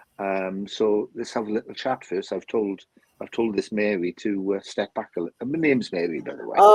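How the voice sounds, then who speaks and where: Speech with a Welsh accent and ordinary pitch variation, dry and close with no echo. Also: man, fairly low pitch for a man. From South Wales. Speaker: spiritualist medium. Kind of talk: live-stream chat. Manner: halting, repeats words.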